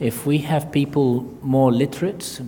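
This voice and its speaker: A man talks with an Arabic accent. There is noticeable background noise and audible room echo. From Iraq. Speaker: surgeon and author. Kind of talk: audience Q&A at book launch. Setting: stage with audience. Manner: halting, many fillers.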